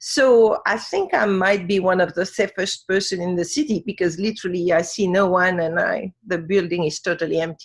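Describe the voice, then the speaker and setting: Speaking at a moderate pace with hardly any pauses, a woman with a French accent keeps a medium pitch and ordinary pitch variation. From Africa. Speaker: wisdom teacher. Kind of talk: interview. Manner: halting.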